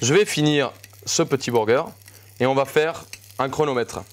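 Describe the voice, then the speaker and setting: Speaking rather unhurriedly, a man keeps a fairly high pitch with normal rises and falls. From Colombia. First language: Spanish (speaking French). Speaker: chef. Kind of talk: live cooking demonstration. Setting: live studio class. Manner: animated.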